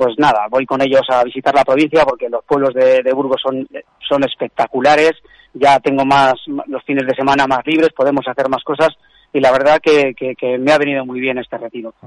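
In a dry, close sound with no echo, a man of medium pitch talks at a fairly quick pace with monotone, flat intonation. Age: 50s. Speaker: weightlifter and coach. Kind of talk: radio interview.

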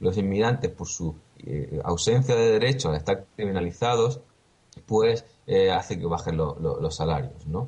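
Speaking at a fairly slow pace, a man uses lively intonation. His voice is fairly low and somewhat breathy. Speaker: radio news presenter. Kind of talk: news reading. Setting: remote via Skype. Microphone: connection dropping at times.

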